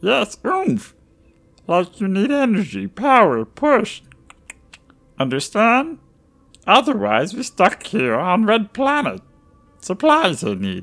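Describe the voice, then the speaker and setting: A put-on character voice, croaky and fairly high in pitch, moves at a fairly slow pace with long, frequent pauses. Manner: choppy broken speech, urgent, proud.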